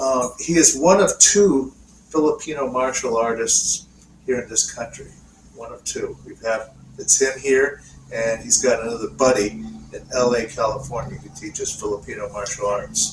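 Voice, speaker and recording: Amid noticeable background noise, a man talks with big swings in loudness. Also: moderate pace. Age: 50s. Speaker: podcast co-host. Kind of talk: casual chat. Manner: halting.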